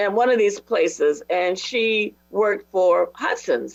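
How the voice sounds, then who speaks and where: A woman talks with an American accent. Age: 70s. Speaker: panelist. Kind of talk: panel discussion.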